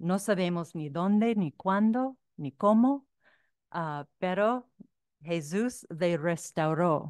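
A woman with a non-native accent speaks at a very slow pace, her fairly low pitch carrying lively intonation. The sound is dry with no echo against a quiet background. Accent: foreign accent in Spanish. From United States. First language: English (speaking Spanish). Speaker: author and researcher; speaker. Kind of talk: lecture. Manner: halting. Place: hall. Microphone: podium.

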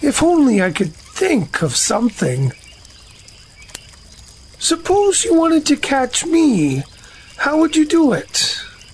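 In a put-on character voice at an extremely high pitch, a man speaks at a fairly slow pace with long, frequent pauses.

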